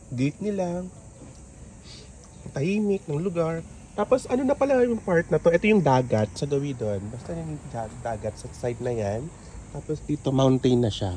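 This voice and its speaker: With very wide pitch swings, this man's voice comes out somewhat breathy. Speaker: travel vlogger. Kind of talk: travel vlog narration. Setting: outdoors. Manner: casual, chatty.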